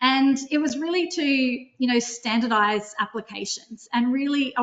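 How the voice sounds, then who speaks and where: Ordinary pitch variation in an Australian accent. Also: woman. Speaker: drone company CEO. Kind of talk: webinar software demo. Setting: online webinar. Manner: fast.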